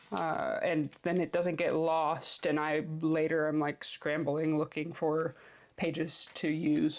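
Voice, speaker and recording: A woman with a very deep, low pitch talks at a very slow pace, her intonation monotone and flat and her loudness very even. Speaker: planner and stationery youtuber. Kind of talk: casual planner flip-through. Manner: casual with many fillers.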